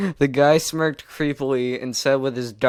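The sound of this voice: The voice reads the text aloud. It sounds natural and unforced.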